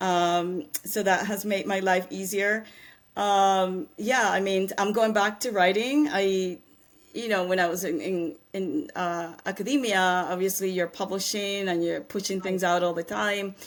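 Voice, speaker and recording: Woman at a medium pitch and a fairly slow pace with ordinary pitch variation, in a very clean recording with a silent background. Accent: Spanish. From Panama. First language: Spanish. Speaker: angel investor and scientist. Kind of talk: interview.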